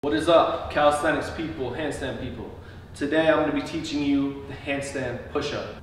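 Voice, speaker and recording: A man at a fairly quick pace with fairly even intonation, audible room echo and light background noise. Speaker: fitness coach. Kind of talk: tutorial. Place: garage. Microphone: camera far.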